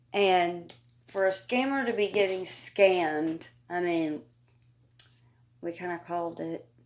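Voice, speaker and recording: A woman's mumbling at a fairly slow pace, broken by long, frequent pauses. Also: fairly low pitch for a woman, ordinary pitch variation. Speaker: commentary YouTuber. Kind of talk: casual commentary rant. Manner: animated.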